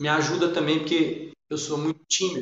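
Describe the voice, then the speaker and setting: Audible room echo surrounds a man whose voice sits at a fairly high pitch. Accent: strong Minas Gerais. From Minas Gerais, Brazil. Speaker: musician, storyteller and art educator. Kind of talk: interview conversation. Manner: halting, many repetitions and false starts.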